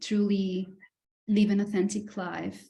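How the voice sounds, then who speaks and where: A dark, mellow, somewhat breathy tone with monotone, flat intonation at a moderate pace. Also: woman. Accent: Greek. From Greece. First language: Greek. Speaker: self-love coach and healer. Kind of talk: podcast interview.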